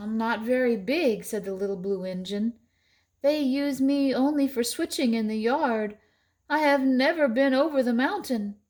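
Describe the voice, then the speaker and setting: A put-on character voice, female-sounding and high in pitch, comes through on a very clean recording with a silent background. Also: moderate pace. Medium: read story. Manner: kind, earnest.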